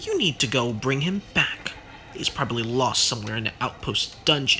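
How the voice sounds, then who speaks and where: A man's gravelly, put-on character voice of medium pitch at a moderate pace, with clear background noise. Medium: read story. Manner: gruff, curt.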